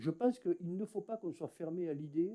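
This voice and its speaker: A man's high pitch and dark, mellow tone with lively intonation. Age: 60s. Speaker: mayor. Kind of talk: municipal council speech. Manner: halting, many hesitations.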